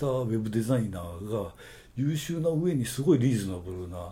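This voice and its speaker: A man's somewhat breathy, dark, mellow voice at medium pitch, with lively intonation, a moderate pace and audible room echo. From Okayama, Japan (rural). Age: 60s. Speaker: advertising agency owner. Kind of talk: casual interview.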